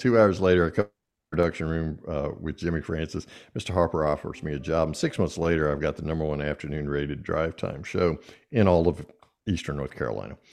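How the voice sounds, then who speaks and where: A man with a very deep, low pitch and a Southern US accent, at a fairly quick pace against a quiet background. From US South. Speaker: podcast host and speaker. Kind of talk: interview. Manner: animated.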